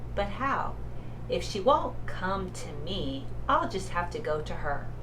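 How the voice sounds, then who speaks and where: Over loud background noise, a woman puts on a character voice and speaks at a fairly slow pace. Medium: read story.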